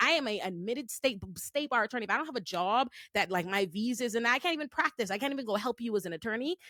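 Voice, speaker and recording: A woman's bright, sharp, animated tone at a very fast pace, with lively intonation, hardly any pauses, and dry, close sound with no echo. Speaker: attorney and show host. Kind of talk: casual panel discussion.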